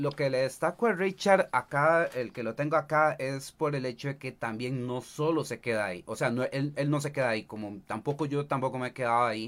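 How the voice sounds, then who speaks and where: A man with a Costa Rican accent speaks at a fairly quick pace with hardly any pauses. His pitch is fairly high with ordinary variation, on a very clean recording with a silent background. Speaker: streamer and cosplayer. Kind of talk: casual chat. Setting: livestream.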